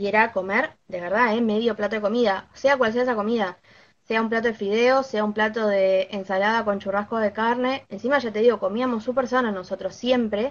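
A woman with an unremarkable speaking voice talks at a fairly quick pace, fairly high in pitch and fairly even in intonation. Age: 20s. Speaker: knitting content creator. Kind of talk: live stream interview.

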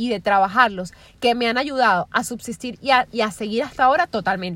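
A woman's animated voice at a moderate pace, with ordinary pitch variation. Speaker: podcaster. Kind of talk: casual monologue. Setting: in a car.

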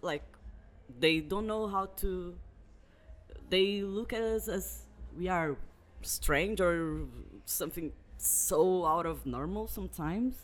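Speaking at a very slow pace with long, frequent pauses, a man talks in a Portuguese accent. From Brazil. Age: 20s. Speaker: guest. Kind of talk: casual chat. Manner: halting.

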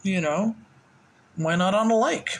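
Against noticeable background noise, a man with an American accent speaks at a moderate pace. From US South. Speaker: podcast host. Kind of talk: casual chat. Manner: casual, chatty.

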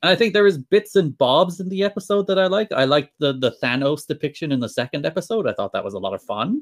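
With a slight Irish accent, a man with a high pitch races along at a very fast pace with hardly any pauses and very wide pitch swings. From Ireland. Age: 20s. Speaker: podcast guest.

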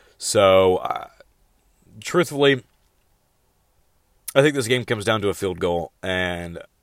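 A man speaks at a fairly slow pace and a fairly low pitch, with long, frequent pauses. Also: lively intonation. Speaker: NFL picks podcaster. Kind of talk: casual sports predictions monologue.

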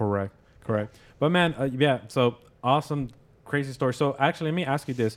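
A man speaks at medium pitch and a fairly quick pace, with ordinary pitch variation. He has a normal speaking voice. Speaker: podcast host and credit repair specialist. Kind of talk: casual interview chat. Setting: studio with cameras.

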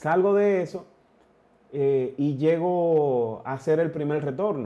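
Speaking at a fairly high pitch, a man shows ordinary pitch variation. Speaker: amateur triathlete. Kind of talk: casual chat.

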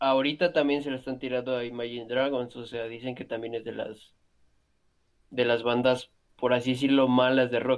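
A man with a Mexican accent speaks at a moderate pace and medium pitch, his intonation flat and monotone while his loudness swings widely. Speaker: podcast co-host. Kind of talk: casual chat.

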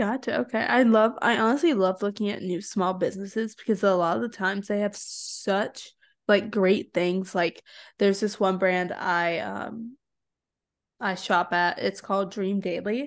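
A woman with an ordinary speaking voice talks at a moderate pace and medium pitch, with ordinary pitch variation, over a quiet background. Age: young. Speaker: podcast host. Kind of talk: interview conversation.

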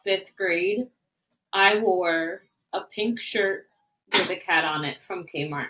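Speaking very slowly, a woman has a medium pitch and a bright, sharp tone. Her intonation stays fairly even. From Puerto Rico. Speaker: podcast co-host. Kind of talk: casual chat.

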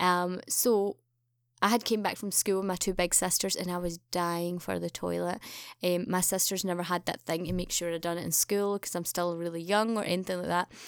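In a Glaswegian accent, a woman with a fairly low voice speaks at a fairly quick pace in a flat monotone, on a very clean recording with a silent background. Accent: Glaswegian Scottish. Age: 30s. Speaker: podcast host's sister. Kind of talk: casual chat.

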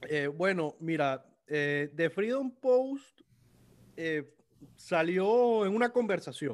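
A man's high voice at a very slow pace, with very wide pitch swings and long, frequent pauses, on a very clean recording with a silent background. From Venezuela. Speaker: lawyer and political commentator. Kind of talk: casual interview chat. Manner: halting, repeats words.

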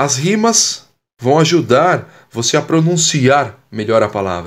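A man with a Brazilian accent speaks at a fairly slow pace. His tone is animated and his intonation lively. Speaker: communication and public speaking coach. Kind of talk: poet reading cordel-style rhymed verses aloud, then casual coaching talk. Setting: podcast, solo monologue. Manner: animated, encouraging, didactic.

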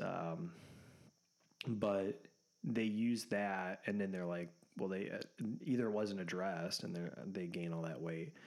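A man's fairly low voice moves at a moderate pace, and its pitch varies in an ordinary way. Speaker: podcast co-host. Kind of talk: casual chat.

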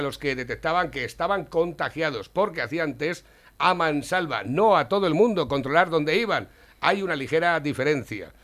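An unremarkable speaking voice from a man, fairly high in pitch with ordinary pitch variation, at a moderate pace. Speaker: radio host. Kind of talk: casual chat.

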